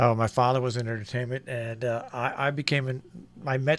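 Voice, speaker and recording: Here a man talks at a fairly quick pace. His pitch is medium and his intonation fairly even. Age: 60s. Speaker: radio host and network co-founder. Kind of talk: radio interview. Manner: hesitant, many fillers.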